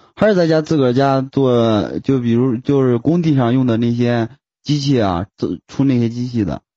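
A man talks at a medium pitch. His pace is moderate and his pitch varies in an ordinary way. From Beijing. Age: 20s. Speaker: fan calling in to a live stream. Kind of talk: casual chat. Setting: voice call. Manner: few words, laconic.

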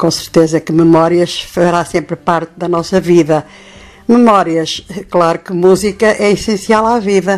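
With a European Portuguese accent, a woman talks in a fairly low pitch, keeping her intonation fairly even. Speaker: radio presenter and author. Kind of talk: interview. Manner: halting.

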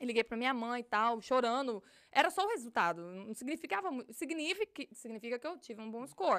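With a high pitch, a woman talks fairly quickly, her pitch swinging very widely and her loudness rising and falling a lot. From Brazil, Minas Gerais (Galileia). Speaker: police officer. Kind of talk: casual interview.

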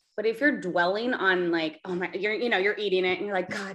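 At a fairly quick pace, a woman talks in a plain, everyday voice, medium in pitch and fairly even in intonation. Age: 30s. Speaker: teacher. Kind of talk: casual chat. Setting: video call.

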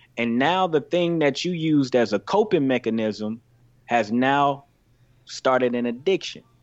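An American accent marks this man's ordinary speaking voice, which sits at a medium pitch with lively intonation and a fairly slow pace. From US South, Greenville, Mississippi. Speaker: youth pastor. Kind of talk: casual chat.

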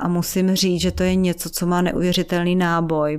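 Against a very clean, silent background, a woman speaks at a fairly slow pace with a fairly low pitch. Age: middle-aged. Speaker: foundation director. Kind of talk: interview.

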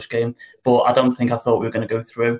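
A man talks very fast at a medium pitch. His intonation is monotone and flat. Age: 30s. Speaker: football club financial director. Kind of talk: interview. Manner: halting, with fillers and repetitions.

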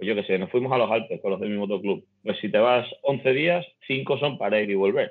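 Speaking at a moderate pace, a man has a medium pitch and lively intonation. It is an unremarkable speaking voice. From Extremadura, Spain (Navalmoral de la Mata, Cáceres). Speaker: motorcycle traveler. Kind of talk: casual chat.

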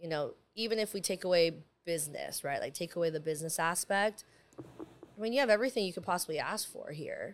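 Using a normal speaking voice, a woman with an American accent speaks at a fairly quick pace with medium pitch and ordinary pitch variation. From San Diego, California. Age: 30s. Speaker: cigar lounge owner. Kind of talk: casual chat. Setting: in a cigar lounge.

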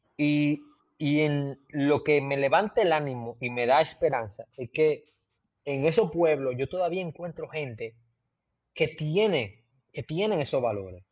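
A man talks at a fairly slow pace with lively intonation, his pitch fairly high, in an unremarkable speaking voice. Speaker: travel content creator. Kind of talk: casual interview.

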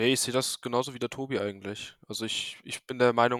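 A medium-pitched male voice, monotone with flat intonation, at a fairly quick pace, in a dry, close sound with no echo. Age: 20s. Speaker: electronics technician and local council candidate. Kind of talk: casual interview. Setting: remote recording from home.

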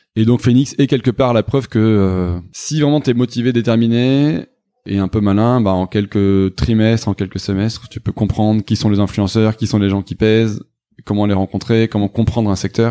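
A man with a dark, mellow tone and fairly low pitch speaks at a moderate pace with fairly even intonation, his loudness swinging widely, in a dry, close sound with no echo. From southwestern France. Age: 30s. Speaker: startup founder and CEO. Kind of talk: interview.

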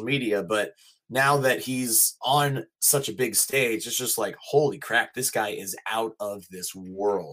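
Speaking at a medium pitch with ordinary pitch variation, a man has an unremarkable speaking voice. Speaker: voice actor, mocap performer and wrestling announcer. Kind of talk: casual interview chat.

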